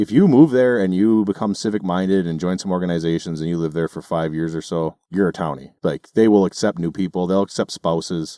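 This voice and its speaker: A man with an American accent speaks at a fairly quick pace with hardly any pauses, his very deep, low voice dark and mellow with ordinary pitch variation. The recording is very clean and dry, close with no echo against a silent background. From northern Minnesota. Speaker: podcast host. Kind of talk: casual chat.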